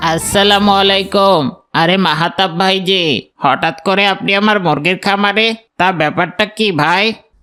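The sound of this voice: A cartoonish character voice at a middle pitch speaks at a moderate pace, with faint music in the background.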